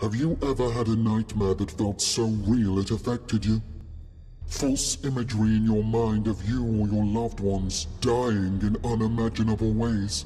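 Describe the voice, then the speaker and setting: Over clear background music, a man at a medium pitch talks in a menacing tone at a moderate pace. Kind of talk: horror trailer villain monologue. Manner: menacing, slow, gloating.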